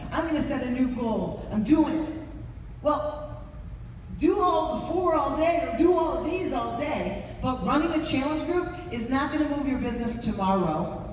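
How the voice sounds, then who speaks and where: A woman's high-pitched, animated voice with an American accent, lively intonation and a moderate pace, amid noticeable background noise and audible room echo. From New York. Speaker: business coach trainer. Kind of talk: motivational training talk to audience.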